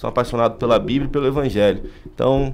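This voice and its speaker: At a fairly quick pace, a man talks in a medium pitch. His pitch variation is ordinary. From Rio de Janeiro, Brazil. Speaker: pastor. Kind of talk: podcast interview.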